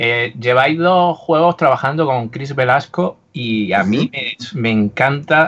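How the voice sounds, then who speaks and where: The man's tone is bright and sharp. His pitch varies in an ordinary way. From Andalusia, Úbeda. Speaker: podcast co-host. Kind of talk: casual chat.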